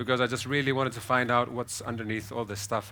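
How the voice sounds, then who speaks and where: Someone with a Greek accent talks very fast in a bright, sharp tone. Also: man. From Athens, Greece. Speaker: psytrance producer. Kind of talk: panel discussion.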